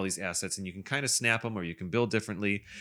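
A man with an Upper Midwest accent, fairly low pitch, ordinary pitch variation and a bright, sharp tone on a very clean recording with a silent background. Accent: upper Midwest American. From Wisconsin. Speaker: podcast host. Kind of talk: casual chat.

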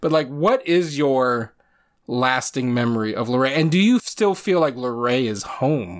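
A man's plain, everyday voice at a medium pitch with an American accent, lively intonation and a fairly slow pace, on a very clean recording with a silent background. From Virginia (Shenandoah Valley, then Chesapeake). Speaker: podcast host. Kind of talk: casual chat.

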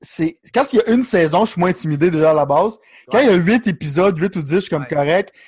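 A high-pitched man with a Quebec accent, very fast and with lively intonation, on a very clean recording with a silent background. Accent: Québécois French. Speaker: podcast co-host. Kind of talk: casual chat.

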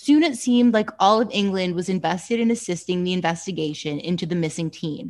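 With lively intonation, a woman at a medium pitch talks very fast in a very clean recording with a silent background. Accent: Canadian. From Canada. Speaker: true crime podcast host. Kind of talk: casual chat with case narration.

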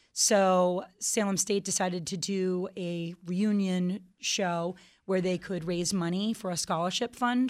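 On a very clean recording with a silent background, a woman speaks at a very slow pace. Her pitch is medium, with ordinary variation. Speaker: band guitarist and singer. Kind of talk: casual radio interview. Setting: radio studio.

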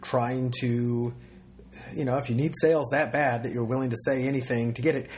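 A man talks at a fairly quick pace. His voice is somewhat breathy with a dark, mellow tone. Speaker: podcast host. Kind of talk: casual interview chat.

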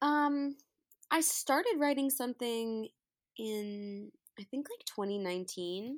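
A woman's high, lively voice with an American accent, at a very slow pace with long, frequent pauses. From New York. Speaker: singer-songwriter. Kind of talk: casual interview chat. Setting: remote call.

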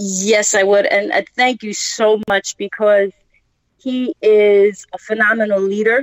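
A woman with a Brooklyn accent talks at a very slow pace in a fairly high pitch. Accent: Brooklyn, New York. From Brooklyn, New York. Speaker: podcast guest, business founder; former teacher, community advocate.

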